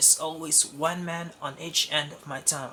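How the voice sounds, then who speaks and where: This is a put-on character voice with a gravelly sound. The pace is moderate. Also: man. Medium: read story. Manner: bitter, sardonic.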